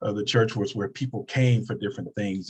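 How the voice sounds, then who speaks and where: Breathiness comes through somewhat in this voice. The pitch moves in a fairly even way. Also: man. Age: 60s. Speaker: pastor. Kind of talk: panel discussion.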